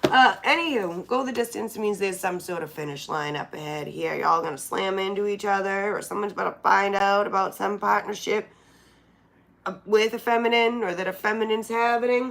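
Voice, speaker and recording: Fairly quick and at medium pitch, a woman speaks in a plain, everyday voice with ordinary pitch variation. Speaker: tarot reader. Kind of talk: tarot reading. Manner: casual.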